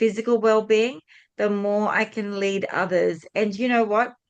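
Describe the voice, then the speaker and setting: An ordinary speaking voice at a fairly slow pace with fairly even intonation and a quiet background. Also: woman. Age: 60s. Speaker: podcast host. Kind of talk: podcast interview.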